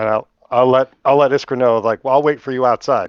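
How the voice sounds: Speaking at a fairly quick pace, a man with a medium pitch and a clear, smooth tone keeps his intonation fairly even, the sound dry and close with no echo.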